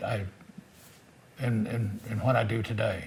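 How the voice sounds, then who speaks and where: A man speaks in a somewhat breathy voice. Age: 80s+. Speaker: military veteran. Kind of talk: testimony. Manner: halting.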